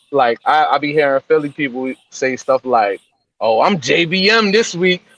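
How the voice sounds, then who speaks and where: A man with a New York accent speaks at a fairly slow pace in a fairly high pitch, his intonation lively and the sound dry and close with no echo. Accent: New York accent, lighter than his barber's. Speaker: podcast co-host. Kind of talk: casual chat.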